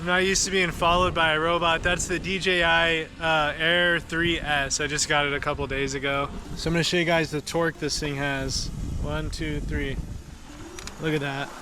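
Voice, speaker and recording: Over noticeable background noise, a man with a fairly high pitch speaks in an enthusiastic tone at a moderate pace. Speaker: product reviewer / YouTuber. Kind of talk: product review tutorial. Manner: casual, enthusiastic.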